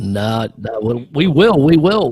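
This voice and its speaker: Speaking fairly slowly with a New Zealand accent, a man lets his pitch swing very widely. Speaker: talk show host. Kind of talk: casual chat.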